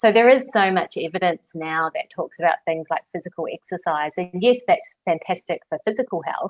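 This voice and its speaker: A woman talks at a moderate pace and medium pitch, with lively intonation and hardly any pauses. The sound is dry and close, with no echo. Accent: New Zealand. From New Zealand. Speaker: clinical psychologist. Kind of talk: interview conversation.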